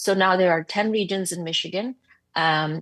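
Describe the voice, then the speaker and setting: Her intonation fairly even, a woman talks at a fairly low pitch. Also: dry, close sound with no echo, quiet background. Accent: non-native. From abroad, developing country. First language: not English. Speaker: psychiatrist, medical officer. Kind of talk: committee testimony. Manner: blunt and passionate; halting, many fillers and repeats.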